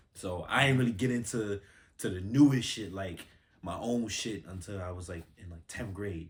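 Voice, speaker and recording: At a moderate pace, a man with an American accent speaks in a somewhat breathy voice with ordinary pitch variation. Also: big swings in loudness. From Bronx, New York. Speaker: musician and model. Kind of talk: casual interview chat. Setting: studio. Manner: casual, many fillers.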